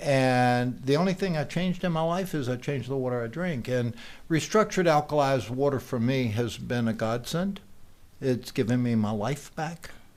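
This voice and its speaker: Lively intonation marks an unremarkable speaking voice delivered at a moderate pace. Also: man, medium pitch for a man. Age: 60s. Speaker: Lyme disease patient sharing a product testimonial. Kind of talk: testimony. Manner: conversational with frequent fillers.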